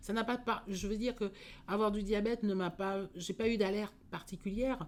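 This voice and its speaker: The woman's pitch sits at a medium level, her pace is moderate, and her intonation stays fairly even. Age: 60s. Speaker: diabetes patient giving testimony. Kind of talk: interview testimony. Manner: hesitant, many fillers.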